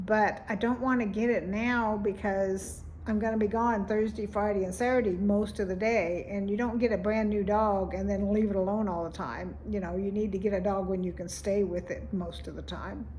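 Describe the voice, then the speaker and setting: A woman with a somewhat breathy voice speaks in monotone, flat intonation with hardly any pauses, amid audible room echo. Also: medium pitch for a woman, moderate pace. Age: 70s. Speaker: vlogger. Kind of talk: casual vlog monologue.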